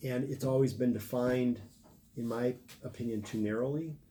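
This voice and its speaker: This man's voice is somewhat breathy, with a dark, mellow tone, medium pitch, fairly even intonation and a moderate pace. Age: 60s. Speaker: political candidate. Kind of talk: interview. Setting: live stream.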